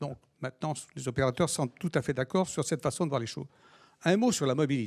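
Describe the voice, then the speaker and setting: The speaker talks at a very fast pace, broken by long, frequent pauses. The background is quiet. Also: man, fairly high pitch for a man, ordinary pitch variation. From France. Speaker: local politician. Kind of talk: speech. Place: hall. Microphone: handheld.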